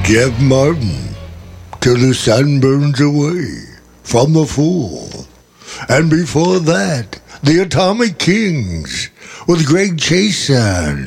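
A man's fairly high pitch at a very slow pace, with long, frequent pauses and noticeable background noise. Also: lively intonation, very even loudness. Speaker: rock radio host. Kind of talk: radio DJ back-announcing tracks and plugging upcoming interviews. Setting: studio. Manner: breezy, promotional patter with repeated station IDs; casual, slightly rambling with self-corrections.

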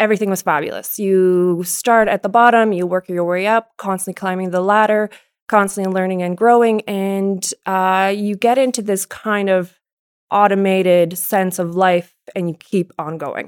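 A woman speaks at a moderate pace with a medium pitch. Her intonation is fairly even, and the recording is dry and close with no echo. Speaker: abstract painter. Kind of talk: casual interview. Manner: direct.

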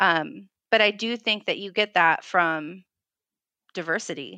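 A woman with an American accent, bright and sharp in tone with vocal fry, ordinary pitch variation, a fairly slow pace and long, frequent pauses, on a very clean recording over a silent background. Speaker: history teacher. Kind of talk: interview.

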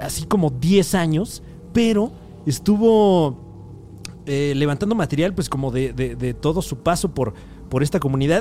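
Over music in the background, a man with a Mexican accent talks at a fairly high pitch, with very wide pitch swings. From Mexico. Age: 20s. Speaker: podcast host. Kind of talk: casual monologue. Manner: animated.

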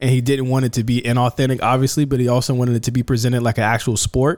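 A man with an American accent rattles through his words at a very fast pace. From Virginia. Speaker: podcast host. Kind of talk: casual chat.

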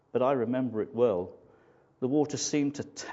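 The clip is reading aloud. It is done in a natural voice.

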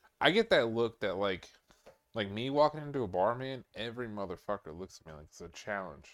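A normal speaking voice moves at a fairly quick pace with lively intonation and big swings in loudness. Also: man, medium pitch for a man. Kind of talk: casual chat. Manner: casual, profane.

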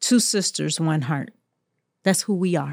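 The speech moves at a fairly slow pace with ordinary pitch variation. The recording is very clean with a silent background and a dry, close sound with no echo. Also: woman. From Jacksonville, Florida, US South. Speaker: judge and author. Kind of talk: interview.

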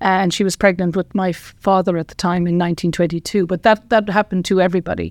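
A woman with an Irish accent at a medium pitch, monotone and flat, very fast with hardly any pauses, big swings in loudness, in a dry, close sound with no echo. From Ireland, County Tipperary. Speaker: retired professor and scientist. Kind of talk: interview.

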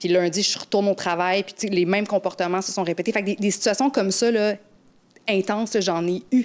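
A woman talks at a fairly quick pace in an ordinary speaking voice. Her pitch is medium, and her intonation fairly even. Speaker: radio weather presenter. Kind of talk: casual chat.

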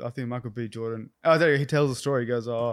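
With an Australian accent, a man speaks in fairly even intonation on a very clean recording with a silent background. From Australia, Canberra. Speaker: actor. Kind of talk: casual chat.

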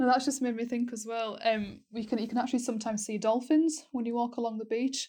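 A woman's fairly high yet dark, mellow voice at a very fast pace with fairly even intonation, recorded very cleanly against a silent background. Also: hardly any pauses. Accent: Yorkshire. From North Yorkshire, England. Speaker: university student. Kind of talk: casual chat.

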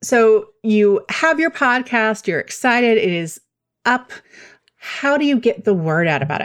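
Fairly high-pitched woman at a moderate pace, with very wide pitch swings. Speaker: podcast host and communicator. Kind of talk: casual interview chat.

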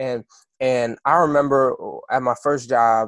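With a dry, close sound and no echo, a man speaks at a moderate pace in a plain, everyday voice of medium pitch with fairly even intonation. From Kansas, US. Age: 20s. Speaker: musician. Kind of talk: interview. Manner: casual, conversational.

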